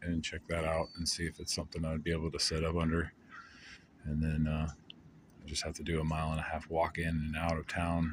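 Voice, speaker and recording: A man's very deep, low voice in monotone, flat intonation. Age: old. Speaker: traveling hobo and busker vlogger. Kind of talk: casual vlog monologue. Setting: outdoors at a campsite. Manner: quiet, low-key.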